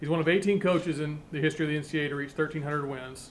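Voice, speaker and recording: Over light background noise, a man speaks at a fairly quick pace in a monotone, flat intonation. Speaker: university athletics official. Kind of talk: formal introduction. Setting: press conference room with media. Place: meeting room.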